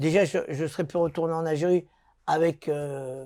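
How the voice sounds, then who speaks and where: A man speaks at a fairly high pitch with ordinary pitch variation. The recording is very clean, with a silent background. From Paris, France (born in Algeria). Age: 60s. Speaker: former boxer. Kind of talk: interview. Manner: animated; halting.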